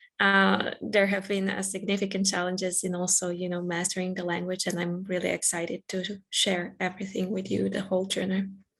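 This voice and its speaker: In a Croatian accent, a woman speaks at medium pitch and a fairly quick pace with monotone, flat intonation. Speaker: scientist and writer. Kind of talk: panel discussion. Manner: hesitant, many fillers.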